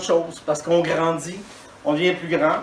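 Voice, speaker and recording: A man speaks in a high pitch. There is noticeable background noise and audible room echo. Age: 60s. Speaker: dentist giving a talk. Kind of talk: conference talk. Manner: hesitant, with fillers and repetitions.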